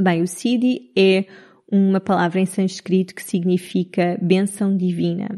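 A woman's dark, mellow voice in a Lisbon accent, medium-pitched and monotone, flat, at a fairly slow pace with big swings in loudness. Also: quiet background. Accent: European Portuguese, Lisbon. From Portugal, Lisbon area (Cascais). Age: 30s. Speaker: podcast host, human design coach. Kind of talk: casual solo monologue.

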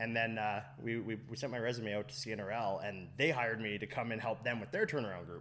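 With a Canadian accent, a man at medium pitch talks at a fairly quick pace with hardly any pauses and ordinary pitch variation, and audible room echo surrounds him. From Fort McMurray, Alberta, Canada. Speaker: cider business owner. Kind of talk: casual interview. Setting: on location at a cider business.

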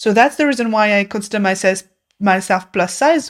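In a French accent, a woman with a fairly high pitch speaks at a moderate pace with ordinary pitch variation. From France. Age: 30s. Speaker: podcast guest. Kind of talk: casual chat. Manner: halting.

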